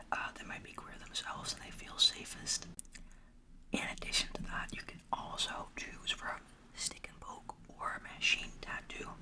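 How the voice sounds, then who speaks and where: A whispered voice at a moderate pace, with noticeable background noise around it. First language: Dutch. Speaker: ASMR creator. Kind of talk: roleplay. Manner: soft-spoken.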